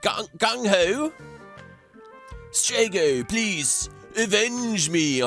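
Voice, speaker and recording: A man's put-on character voice, wheezy and high-pitched, at a very slow pace with long, frequent pauses, very wide pitch swings, and clear music in the background. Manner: dramatic, pleading.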